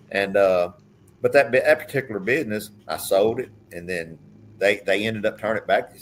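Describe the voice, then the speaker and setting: With an Arkansas accent, a man talks at a fairly quick pace. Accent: Southern US (Arkansas). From US South, southeast Arkansas. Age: 60s. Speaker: businessman and racehorse owner. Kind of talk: casual chat.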